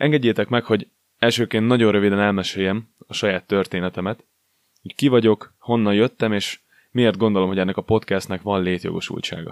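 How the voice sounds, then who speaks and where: This man speaks at a fairly quick pace in a fairly low pitch with fairly even intonation. The sound is dry and close with no echo, on a very clean recording with a silent background. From Hungary, Szolnok. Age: 20s. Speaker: podcast host and personal trainer. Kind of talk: scripted monologue.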